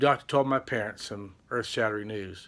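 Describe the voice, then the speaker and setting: Fairly quick and fairly even in intonation, a man with an ordinary speaking voice talks in a very clean recording with a silent background. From Texas, Amarillo. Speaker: vlogger. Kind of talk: personal testimony.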